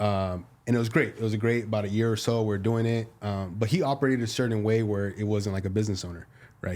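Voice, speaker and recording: A man with a Spanish accent talks at a very fast pace and a fairly low pitch, with ordinary pitch variation. The recording is very clean, with a silent background. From US-born, second-generation Mexican American. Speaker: realtor. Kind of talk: casual chat.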